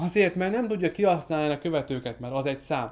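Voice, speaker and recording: His pitch rises and falls in an ordinary way. The speaker is a man. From Hungary. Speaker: marketing course creator. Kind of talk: online course lesson. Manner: occasional slips. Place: studio. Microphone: studio mic.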